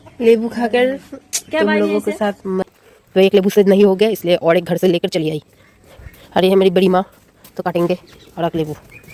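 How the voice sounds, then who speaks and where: A woman with a Bengali accent at a moderate pace, long, frequent pauses, a dry, close sound with no echo and noticeable background noise. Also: medium pitch for a woman, ordinary pitch variation. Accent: Bengali-accented Hindi. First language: Bengali (speaking Hindi). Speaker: vlogger. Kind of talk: casual vlog.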